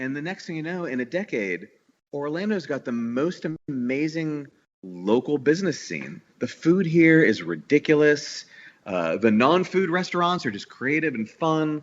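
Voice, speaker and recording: With lively intonation, a man speaks at a moderate pace and a fairly high pitch for a man. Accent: American. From New York, Staten Island. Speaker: bakery owner and founder. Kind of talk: podcast interview. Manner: halting with many repetitions.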